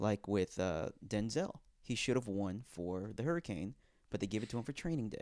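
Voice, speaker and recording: Lively intonation marks a man talking at a moderate speed. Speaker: guest co-host. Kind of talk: casual chat.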